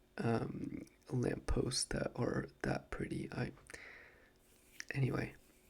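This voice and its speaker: A man is talking. His voice is soft-spoken. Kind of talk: ASMR soft-spoken talk to camera about a trip.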